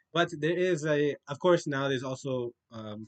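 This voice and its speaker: A man with lively intonation. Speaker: Islamic studies teacher. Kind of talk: lecture. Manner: casual, hesitant with fillers.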